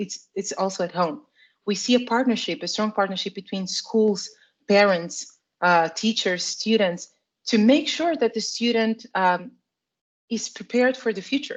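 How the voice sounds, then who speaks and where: In a quiet background, a woman with a Portuguese accent speaks at a moderate pace in a fairly high voice, with long, frequent pauses. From Portugal. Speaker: product marketing manager in education tech. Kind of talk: interview. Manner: halting, with frequent repetitions.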